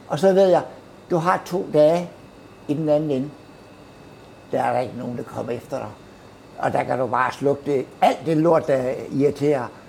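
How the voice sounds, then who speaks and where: The speech moves at a moderate pace with long, frequent pauses, and noticeable background noise is present. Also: man, fairly high pitch for a man, ordinary pitch variation. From Herning, Midtjylland, Denmark. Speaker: baker. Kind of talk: casual chat. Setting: bakery.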